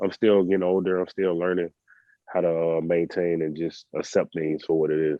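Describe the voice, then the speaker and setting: A man with a very deep, low pitch speaks in a relaxed tone at a moderate pace. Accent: Southern US. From US South. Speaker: professional basketball player. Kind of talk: podcast interview. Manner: casual, relaxed.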